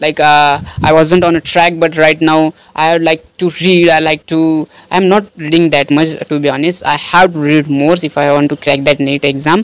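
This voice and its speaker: A man with a Marathi accent speaks at a moderate pace and a fairly high pitch. His monotone, flat intonation comes through with a dry, close sound and no echo. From India, Maharashtra. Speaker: student vlogger. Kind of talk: casual vlog about studies. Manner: halting, many fillers.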